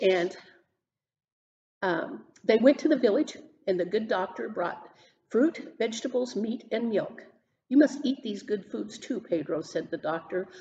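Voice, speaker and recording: A woman's fairly high, somewhat breathy voice in a dark, mellow tone, with lively intonation, a fairly slow pace and long, frequent pauses. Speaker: senior center book club reader. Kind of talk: children's story reading.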